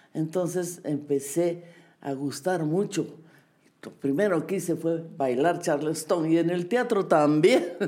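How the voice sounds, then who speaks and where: A woman speaks very slowly. Her pitch is fairly low. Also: ordinary pitch variation. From Bolivia. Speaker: dancer and choreographer. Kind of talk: interview. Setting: at home.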